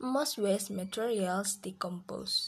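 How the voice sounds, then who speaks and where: The delivery is very slow. It comes with an Indonesian accent. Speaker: language learner vlogger. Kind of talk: reading aloud. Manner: halting.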